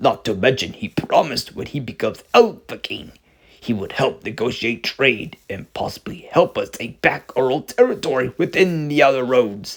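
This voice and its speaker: Using a put-on character voice, a man talks at a moderate pace and medium pitch. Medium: read story. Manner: formal, regal.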